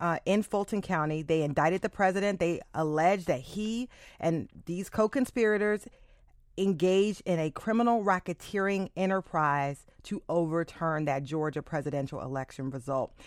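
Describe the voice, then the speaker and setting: In a quiet background, a woman with an unremarkable speaking voice talks at a fairly slow pace with lively intonation. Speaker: public radio host. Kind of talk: radio talk show. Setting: studio.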